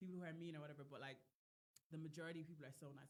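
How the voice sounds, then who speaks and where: A woman with an Irish accent, a fairly low pitch and a bright, sharp tone. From Ireland. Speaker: singer. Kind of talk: casual chat. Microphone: poor audio.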